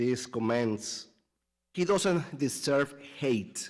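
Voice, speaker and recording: A man's medium-pitched voice with a Spanish accent, lively intonation and a very slow pace. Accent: Spanish accent, non-native English. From Latin America. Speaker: parent giving public comment. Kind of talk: public comment speech. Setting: school board meeting.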